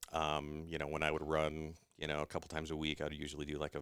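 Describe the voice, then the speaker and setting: With a US Midwestern accent, a man speaks at a very fast pace. His pitch is very deep and low. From Iowa, US Midwest. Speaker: gym member. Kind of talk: podcast interview.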